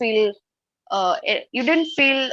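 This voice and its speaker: A woman speaks with an Indian accent. Her pitch is high. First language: Hindi or Marathi. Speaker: English learner, channel creator. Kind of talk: online English speaking class. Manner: halting, hesitant.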